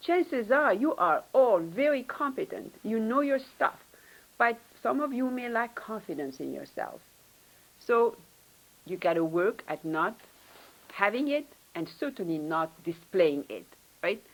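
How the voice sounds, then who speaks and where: A woman with a non-native accent speaks at a fairly slow pace and a fairly high pitch, with very wide pitch swings and long, frequent pauses. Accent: foreign. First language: not English. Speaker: professor, department head. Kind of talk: panel talk, career advice.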